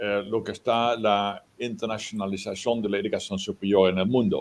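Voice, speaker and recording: A man speaks with a Dutch accent. His intonation stays fairly even. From Netherlands. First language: Dutch (speaking Spanish). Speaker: professor. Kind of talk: lecture. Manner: halting.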